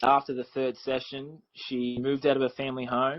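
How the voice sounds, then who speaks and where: A man's voice sits at a medium pitch. He keeps to a moderate pace. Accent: Australian. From Australia, Victoria near Melbourne. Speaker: life coach for teens. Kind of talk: podcast interview.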